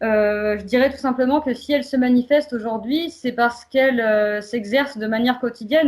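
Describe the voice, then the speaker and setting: An ordinary speaking voice from a woman, fairly high-pitched, at a moderate pace with fairly even intonation, on a very clean recording with a silent background. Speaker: community association worker. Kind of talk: prepared presentation.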